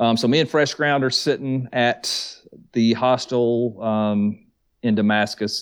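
A man with a Southern US accent speaks at a fairly slow pace and medium pitch, with fairly even intonation and very even loudness, on a very clean recording with a silent background. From US South, Georgia near Atlanta. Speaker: thru-hiker, YouTuber, Marine veteran. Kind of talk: casual chat.

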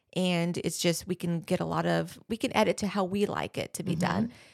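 A woman with an ordinary speaking voice and a fairly low pitch speaks at a moderate pace, the sound dry and close with no echo on a very clean recording with a silent background. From US, Mexican-American family. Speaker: event venue owner. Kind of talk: casual interview.

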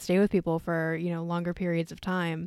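Pitched fairly low, a woman talks at a moderate pace. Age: 20s. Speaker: astrology podcast host. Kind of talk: casual solo chat. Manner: quieter than usual.

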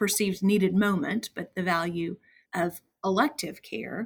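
Somewhat breathy woman's voice at a medium pitch. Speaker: podcast co-host. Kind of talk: interview chat.

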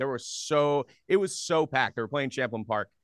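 A man talks at a fairly quick pace with an American accent. His pitch shows ordinary variation. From US Northeast, Philadelphia area. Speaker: radio host. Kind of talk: casual chat. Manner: loud.

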